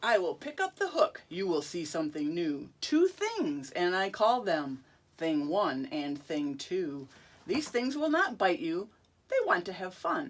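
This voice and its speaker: Fairly slowly, someone talks in a put-on character voice. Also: woman, medium pitch for a woman. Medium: read story. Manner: bouncy, boastful.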